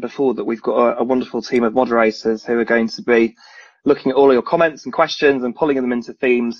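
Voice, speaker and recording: Speaking with a northern English accent, a man goes at a very fast pace and a medium pitch. The sound is dry and close, with no echo. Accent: northern English vowels. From northern England, Leeds. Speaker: recruitment and talent executive. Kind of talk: online presentation. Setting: online video event.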